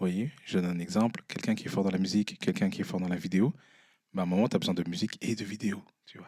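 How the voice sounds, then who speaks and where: Very fast and fairly low in pitch, a man speaks in a dark, mellow tone with ordinary pitch variation and big swings in loudness. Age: 20s. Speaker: entrepreneur and artist. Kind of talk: live podcast interview. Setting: stage with live audience. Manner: animated, addresses the audience.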